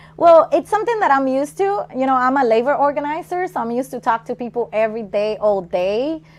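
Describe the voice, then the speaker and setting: A woman's high, very fast speech with very wide pitch swings, hardly any pauses and noticeable background noise. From Puerto Rico. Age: 30s. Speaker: political candidate and labor organizer. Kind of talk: interview.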